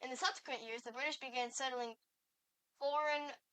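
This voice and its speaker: Music plays in the background as a woman speaks with a high pitch. Her pace is fairly quick and her intonation fairly even. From Canada. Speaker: content creator. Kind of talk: reading aloud. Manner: halting.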